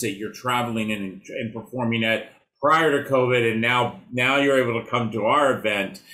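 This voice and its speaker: A man's bright, sharp voice at a moderate pace, with fairly even intonation. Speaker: podcast host, foster care advocate. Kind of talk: interview question. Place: office.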